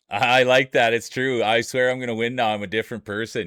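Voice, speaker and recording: A man with a Canadian accent, an ordinary speaking voice, and medium pitch. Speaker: streamer. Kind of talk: casual live-stream talk to chat. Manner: upbeat.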